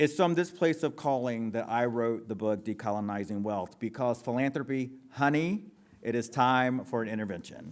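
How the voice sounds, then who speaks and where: With an American accent, a man speaks at a moderate pace using lively intonation. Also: medium pitch for a man. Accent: North Carolina Lumbee English. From US South, Robeson County, North Carolina. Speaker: author and philanthropy executive. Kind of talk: public talk to audience. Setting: stage with audience.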